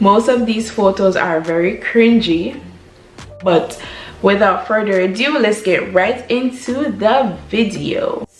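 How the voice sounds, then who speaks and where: A woman with a Jamaican accent talks at a very slow pace, her pitch fairly high with ordinary variation. Music plays in the background. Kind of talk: casual talk to camera. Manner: upbeat.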